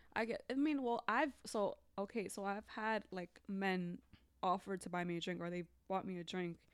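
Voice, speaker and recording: The recording is very clean, with a silent background. A woman speaks in a plain, everyday voice at medium pitch and a moderate pace. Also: ordinary pitch variation. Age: 20s. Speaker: teacher. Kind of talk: casual chat.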